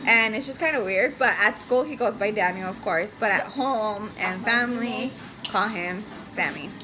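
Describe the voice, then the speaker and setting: With a Spanish accent and lively intonation, the speaker goes at a fairly slow pace over noticeable background noise. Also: woman. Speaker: family vlogger, mother. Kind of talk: casual chat. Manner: hesitant, many fillers.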